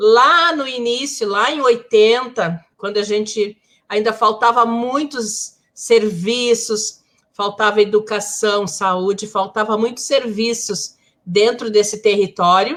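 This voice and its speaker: Speaking at a very slow pace, a woman has a fairly high pitch. Her pitch varies in an ordinary way. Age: 60s. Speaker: community leader and social worker. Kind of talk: live panel discussion.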